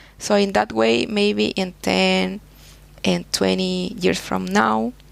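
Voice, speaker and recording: Speaking in a Spanish accent, a woman goes at a very slow pace. Her loudness stays very even. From Chile. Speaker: soil scientist, professor. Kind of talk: interview. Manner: halting.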